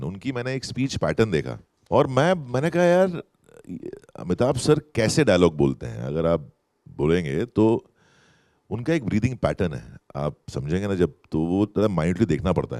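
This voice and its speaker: Vocal fry runs through a man's dark, mellow tone as his pitch swings very widely, heard in a dry, close sound with no echo. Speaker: actor. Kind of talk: festival stage interview answer. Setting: live festival stage with audience. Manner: slow, deliberate.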